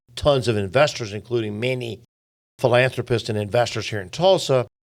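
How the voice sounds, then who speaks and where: A man speaks in an unremarkable speaking voice at a medium pitch, with ordinary pitch variation and a moderate pace. The recording is very clean, with a silent background. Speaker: business chamber executive. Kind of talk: interview.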